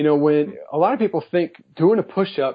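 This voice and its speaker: With lively intonation at a moderate pace, this is a plain, everyday voice. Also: man. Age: 40s. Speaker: fitness trainer. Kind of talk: interview. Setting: phone call.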